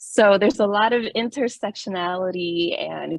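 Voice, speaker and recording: A woman with a Miami accent at a moderate pace. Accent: Miami American English. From Miami, Florida (Little Havana). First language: Spanish. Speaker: doctoral researcher presenter. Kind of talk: academic presentation.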